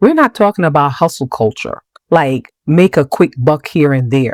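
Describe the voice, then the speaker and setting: In a Jamaican accent, a woman's voice swings very widely in pitch, recorded dry and close with no echo. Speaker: podcast host. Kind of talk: podcast monologue. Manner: conversational.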